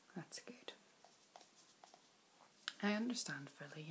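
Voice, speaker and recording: A woman with a Northern Irish accent speaks at a moderate pace. Her tone is gentle and somewhat breathy. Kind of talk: ASMR doctor roleplay. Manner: soft-spoken, gentle, reassuring.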